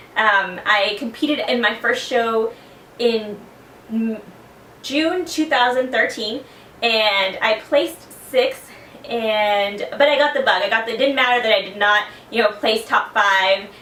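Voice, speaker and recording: A woman with an American accent at a fairly slow pace, over noticeable background noise. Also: fairly high pitch for a woman, ordinary pitch variation. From South Texas. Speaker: fitness competitor. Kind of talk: personal testimony.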